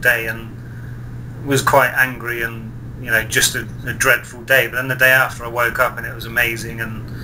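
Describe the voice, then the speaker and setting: Noticeable background noise sits behind a man talking at a moderate pace in a medium, flat, monotone pitch. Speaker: online video show host. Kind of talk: interview.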